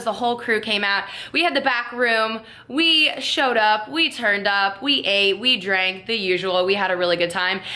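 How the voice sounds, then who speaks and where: Someone with an American accent speaks at a moderate pace with lively intonation and very even loudness, over noticeable background noise. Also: woman, fairly high pitch for a woman. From South Florida. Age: 20s. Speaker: YouTube vlogger. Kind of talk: casual talk to camera.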